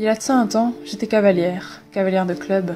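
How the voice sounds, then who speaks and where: With music in the background, a woman talks at a moderate pace and medium pitch, keeping her intonation fairly even. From Belgium. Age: 20s. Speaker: horse rider. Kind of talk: personal story narration.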